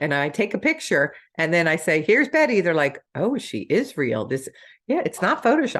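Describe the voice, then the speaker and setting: Against a quiet background, a woman with an American accent talks at a moderate pace. Her pitch swings very widely, with vocal fry. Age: 60s. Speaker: network marketing distributor. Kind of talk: sales pitch. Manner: animated.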